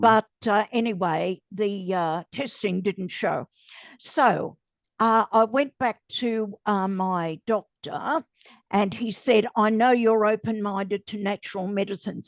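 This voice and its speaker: Over a quiet background, a woman with an Australian accent speaks very slowly with ordinary pitch variation. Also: medium pitch for a woman, dry, close sound with no echo. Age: 80s+. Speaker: cancer survivor. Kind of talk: interview answer.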